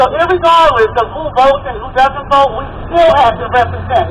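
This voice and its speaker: A woman with a high voice and ordinary pitch variation keeps a moderate pace as noticeable background noise plays underneath. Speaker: city councilwoman. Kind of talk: rally speech. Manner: soft-spoken.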